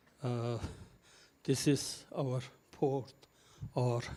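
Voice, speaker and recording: Somewhat breathy and dark, mellow in tone, a man at medium pitch speaks very slowly in a monotone, flat delivery. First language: not English. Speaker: conference moderator. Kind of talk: conference panel moderation and presentation. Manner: halting, many fillers.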